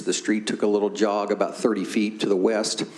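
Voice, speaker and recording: Noticeable background noise sits behind the speaker. He is a man with an American accent and a fairly low pitch. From Tennessee. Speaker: school district planning staff presenter. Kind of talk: board meeting presentation. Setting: public board meeting.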